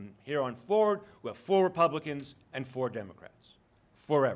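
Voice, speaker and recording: With lively intonation, a man speaks in a fairly high voice. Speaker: legal scholar. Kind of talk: conference talk. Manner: fast.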